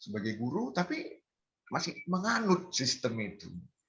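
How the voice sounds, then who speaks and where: A man's pitch swings very widely as he talks fairly slowly. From North Sumatra, Medan (Batak). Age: 60s. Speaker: community member sharing Batak culture. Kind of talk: online community gathering talk. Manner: halting, many fillers.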